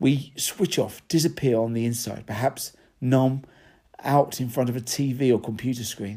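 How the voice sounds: Fairly even intonation in a natural reading voice.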